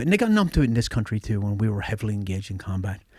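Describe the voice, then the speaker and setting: A man's fairly low voice with an Irish accent, in a very clean recording with a silent background. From Ireland, near the Northern Ireland border. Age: 50s. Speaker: special forces veteran. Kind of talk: casual chat.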